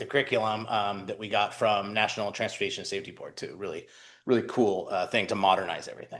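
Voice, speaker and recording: A man talks loudly at a very fast pace. The background is quiet. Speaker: small business development center director presenting to a city commission. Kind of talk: presentation at a public meeting.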